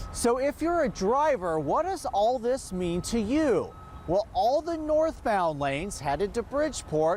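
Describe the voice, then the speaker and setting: A man speaks at a fairly slow pace with hardly any pauses, his extremely high voice swinging very widely in pitch. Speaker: TV news reporter and anchor. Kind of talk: TV news report.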